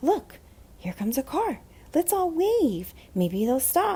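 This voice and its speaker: Delivered at a fairly slow pace, this put-on character voice sits high in pitch and swings very widely up and down. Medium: read story.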